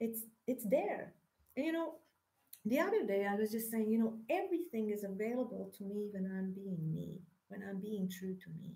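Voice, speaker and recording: A woman with a Hungarian accent, her dark, mellow, somewhat breathy voice at medium pitch, with lively intonation and a moderate pace. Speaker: spiritual teacher. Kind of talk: spiritual monologue. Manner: halting.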